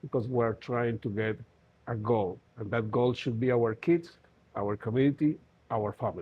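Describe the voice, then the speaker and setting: A man with a Spanish accent speaks at a moderate pace in a medium-pitched, somewhat breathy voice. His pitch varies in an ordinary way, with long, frequent pauses. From Colombia. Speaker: safety trainer. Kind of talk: interview. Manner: halting.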